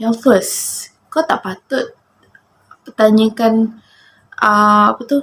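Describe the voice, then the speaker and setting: Fairly high in pitch, the woman speaks in a somewhat breathy voice. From Malaysia, Johor Bahru. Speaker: vlogger. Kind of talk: casual monologue to camera.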